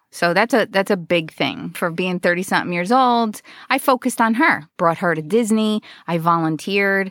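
On a very clean recording with a silent background, a woman sounds animated, with ordinary pitch variation and a dry, close sound with no echo. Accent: New Jersey. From New Jersey, US Northeast. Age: 40s. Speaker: comedian. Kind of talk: casual interview chat. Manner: animated, laughs often.

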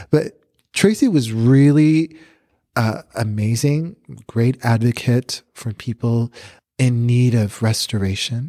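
A man with an American accent, very slow pace, dark, mellow tone, medium pitch, ordinary pitch variation, and a very clean recording over a silent background. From Chicago, then South Texas (McAllen). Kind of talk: testimony.

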